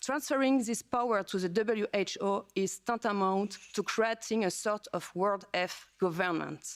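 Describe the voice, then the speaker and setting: A French accent at a moderate pace with ordinary pitch variation. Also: woman. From France. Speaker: politician. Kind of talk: speech. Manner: halting.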